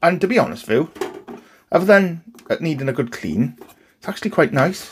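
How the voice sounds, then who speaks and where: A speaker with a Welsh accent talks at a moderate pace. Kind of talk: casual, conversational.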